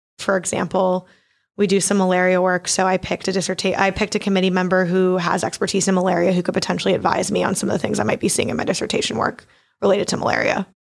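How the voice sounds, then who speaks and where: With an American accent and vocal fry, a woman talks at a very fast pace at a very even loudness in a very clean recording with a silent background. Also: medium pitch for a woman, fairly even intonation. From Maryland, US (Baltimore). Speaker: PhD student. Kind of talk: casual interview.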